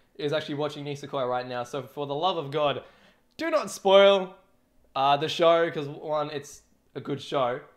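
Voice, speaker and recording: A man with an Australian accent speaks at a fairly high pitch with ordinary pitch variation, in a very clean recording with a silent background. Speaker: streamer, drummer. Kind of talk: casual livestream chat. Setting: livestream. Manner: fast.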